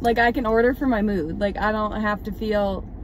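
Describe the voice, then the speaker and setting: A woman with an American accent at a moderate pace, fairly even intonation, dry sound with no echo and light background noise. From Massachusetts, US. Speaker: student athlete vlogger; student vlogger. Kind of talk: casual vlog; casual vlog chat. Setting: in a car. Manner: casual, filler-heavy. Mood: chatty, light. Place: car. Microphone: phone near.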